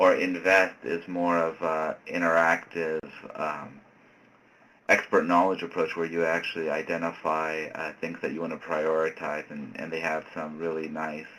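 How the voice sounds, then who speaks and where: With noticeable background noise behind him, a man speaks in a very deep, low voice with monotone, flat intonation. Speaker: researcher presenting on ecosystem services. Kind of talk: lecture. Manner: fast.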